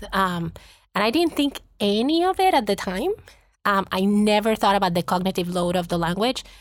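A woman speaks with a Spanish accent at a medium pitch and a moderate pace, her intonation lively and her loudness very even. The recording is very clean with a silent background. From Puerto Rico. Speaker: school district administrator. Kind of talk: interview.

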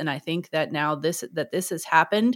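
The recording is very clean, with a silent background. A woman speaks in a plain, everyday voice, fairly low in pitch with ordinary variation. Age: 40s. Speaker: music educator and podcast host. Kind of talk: interview conversation.

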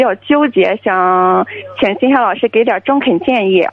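Using an unremarkable speaking voice, a woman speaks at a fairly slow pace with ordinary pitch variation. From Shandong. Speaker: university student, caller. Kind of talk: call-in advice conversation.

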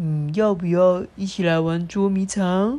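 A put-on character voice, female-sounding, at a medium pitch for a woman and a moderate pace. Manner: gentle, tender.

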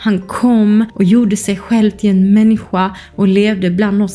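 Here is a woman with a plain, everyday voice. She sits fairly high in pitch, and her intonation is fairly even. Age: 20s. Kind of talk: casual monologue.

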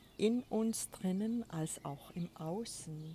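A woman speaks at a very slow pace in a dark, mellow tone that is somewhat breathy. Her pitch is medium, with ordinary variation. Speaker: spiritual coach podcaster. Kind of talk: spiritual monologue. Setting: outdoors on a balcony.

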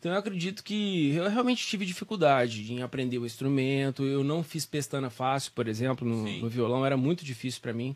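A man with an ordinary speaking voice talks at a fairly quick pace and fairly high pitch, with lively intonation and hardly any pauses. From Brazil, São Joaquim da Barra (São Paulo state). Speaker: voice teacher and musician. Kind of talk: casual interview.

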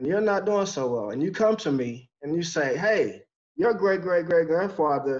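With an American accent, a man speaks in an unremarkable speaking voice. His pace is moderate and his intonation lively. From Texas. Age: 40s. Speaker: podcast guest. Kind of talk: casual interview chat.

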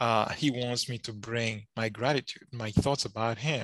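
A man with a non-native accent and fairly even intonation, against a quiet background. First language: not English. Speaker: Bible student, podcast co-host. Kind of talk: casual chat. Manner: halting.

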